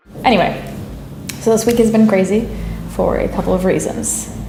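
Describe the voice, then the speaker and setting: A woman is speaking in a room with audible echo. Noticeable background noise runs underneath. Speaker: producer. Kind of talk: casual chat. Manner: whispering.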